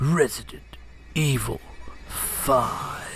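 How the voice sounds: The speaker uses a put-on character voice with a dramatic tone. Background noise is clearly audible.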